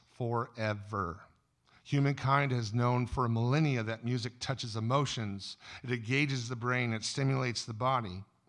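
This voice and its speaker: Over a quiet background, a man talks at a moderate pace with fairly even intonation. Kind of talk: sermon-style talk. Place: stage. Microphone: studio mic.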